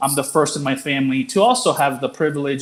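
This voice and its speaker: With a Spanish accent, this man talks at a fairly high pitch for a man, his pitch varying in an ordinary way. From Mexico, Jalisco small town until nine, then Colorado. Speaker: nonprofit executive director. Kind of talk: panel conversation.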